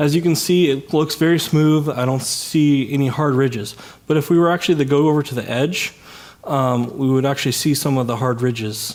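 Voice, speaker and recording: Fairly quick and fairly high-pitched, a man talks. His pitch varies in an ordinary way. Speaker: software developer giving a tech talk. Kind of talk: conference talk. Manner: fast; many filler words.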